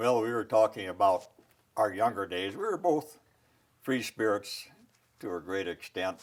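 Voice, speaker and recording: With long, frequent pauses, a man with fairly low pitch talks at a moderate pace. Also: ordinary pitch variation. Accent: Upper Midwest. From South Dakota, rural. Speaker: military veteran. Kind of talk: interview.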